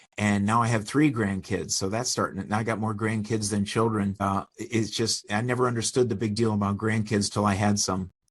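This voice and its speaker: In an ordinary speaking voice, a man talks at a fairly quick pace and fairly low pitch, his intonation fairly even and hardly any pauses breaking it. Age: 60s. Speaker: business owner and consultant. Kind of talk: podcast interview.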